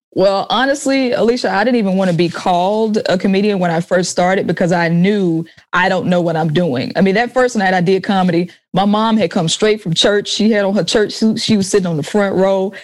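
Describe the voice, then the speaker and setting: With a Southern US accent, a woman of medium pitch speaks in an animated tone at very even loudness. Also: ordinary pitch variation, fairly quick pace. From US South, Jackson, Mississippi. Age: young. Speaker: comedian and musician, military veteran. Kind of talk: casual interview chat. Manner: animated, laughs often.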